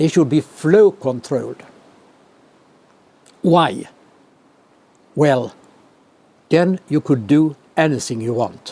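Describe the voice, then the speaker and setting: A man with a Swedish accent and a dark, mellow tone, very slow pace, long, frequent pauses, and ordinary pitch variation. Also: fairly high pitch for a man. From Sweden. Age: 80s+. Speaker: professor emeritus of clinical physiology. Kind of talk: interview answer.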